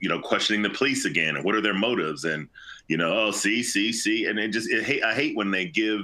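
A fairly quick voice with a bright, sharp tone and lively intonation. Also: man, very even loudness. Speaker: law enforcement officer and voice actor. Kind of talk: casual chat. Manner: halting.

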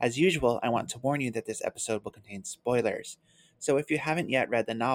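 Ordinary pitch variation runs through the plain reading aloud here.

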